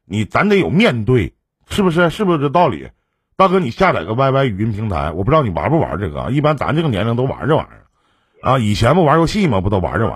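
Talking at a very fast pace, a man with a medium pitch and vocal fry makes very wide pitch swings. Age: 40s. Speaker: emotional advice livestream host. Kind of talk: call-in advice show. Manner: casual, laughs often.

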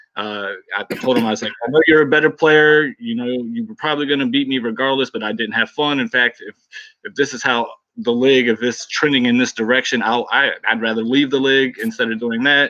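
The man uses an ordinary speaking voice, pitched in the medium range. His delivery is fairly quick, and his pitch varies in an ordinary way. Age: 40s. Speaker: football game league player, fellow podcaster. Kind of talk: casual chat.

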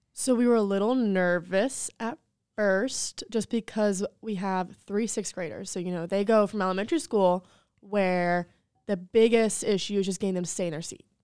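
A woman with an ordinary speaking voice speaks at a moderate pace in a medium pitch, with an American accent and ordinary pitch variation. The sound is dry and close with no echo, and the recording is very clean with a silent background. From North Carolina, Charlotte area. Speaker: special education teacher. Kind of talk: casual interview chat.

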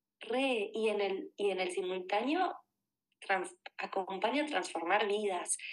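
Moving at a very slow pace with long, frequent pauses, a woman keeps very even loudness and lively intonation. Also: fairly high pitch for a woman. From Argentina, Buenos Aires. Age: 30s. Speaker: life coach. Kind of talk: podcast interview.

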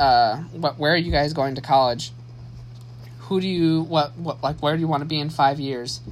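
In a Midwestern American accent, a man talks with fairly high pitch and fairly even intonation. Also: moderate pace. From US Midwest, Saginaw, Michigan. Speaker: podcast host. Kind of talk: solo monologue, personal story. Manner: halting, many fillers and restarts.

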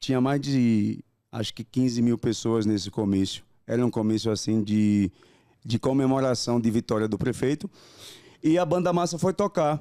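A man at medium pitch, dark and mellow in tone, with lively intonation at a moderate pace, in a dry, close sound with no echo. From Brazil, Rio Grande do Norte (Goianinha / Tibau do Sul). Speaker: actor, dancer and singer. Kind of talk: interview, casual chat.

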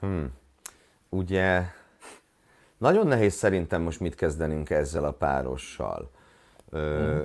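In a very clean recording with a silent background, a man speaks at a moderate pace in a very deep, low voice with ordinary pitch variation. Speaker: motorsport podcast co-host. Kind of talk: casual news roundup chat.

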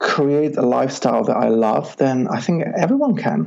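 This man speaks. He has a Czech accent. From Czech Republic, rural village. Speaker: life coach. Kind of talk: interview. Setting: Skype call.

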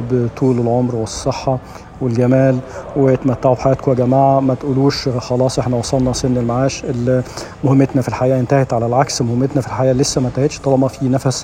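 A man's medium-pitched voice, monotone and flat, at very even loudness, over noticeable background noise. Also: fairly quick pace. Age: 60s. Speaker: radio host. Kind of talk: casual monologue. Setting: gym.

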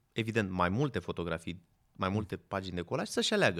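Over a silent background in a very clean recording, a man speaks very fast with very wide pitch swings. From Romania, Craiova. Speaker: event photographer. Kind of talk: casual chat.

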